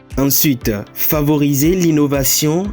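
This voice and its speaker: A man with a fairly high pitch speaks at a fairly slow pace over music in the background. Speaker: voice-over narrator. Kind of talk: corporate narration, organisation presentation. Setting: studio voice-over.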